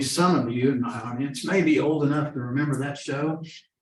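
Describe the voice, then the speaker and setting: A man with an American accent at a moderate pace, fairly even intonation and audible room echo. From Oklahoma, Seminole. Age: 60s. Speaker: lawyer and addiction awareness speaker. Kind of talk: presentation talk. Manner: conversational with hesitations.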